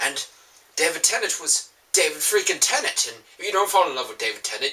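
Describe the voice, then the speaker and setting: A man speaks over noticeable background noise. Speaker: fandom vlogger. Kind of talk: casual vlog monologue. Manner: animated.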